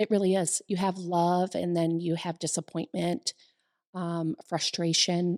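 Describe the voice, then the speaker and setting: On a very clean recording with a silent background, a woman talks fairly slowly at a fairly low pitch, the sound dry and close with no echo. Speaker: co-host and salon business owner. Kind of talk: casual chat. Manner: halting, many repetitions.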